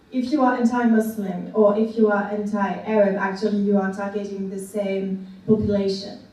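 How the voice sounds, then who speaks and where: A woman talks at a moderate pace and a medium pitch. Noticeable background noise and audible room echo are present. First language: French. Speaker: academic discussant. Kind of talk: panel talk. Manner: halting, many fillers.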